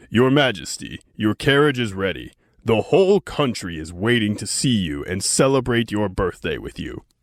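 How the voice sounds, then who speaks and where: Putting on a character voice at a medium pitch, a man speaks at a moderate pace with very wide pitch swings, on a very clean recording with a silent background. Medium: read story. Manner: hesitant, fearful.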